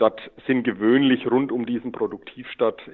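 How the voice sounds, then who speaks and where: A man speaks with a Lower Franconian accent. His pace is moderate. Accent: Lower Franconian German, audible. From Lower Franconia, Germany (Schweinfurt region). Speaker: SAP consultant, head of consulting. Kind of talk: interview. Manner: hesitant, many filler sounds.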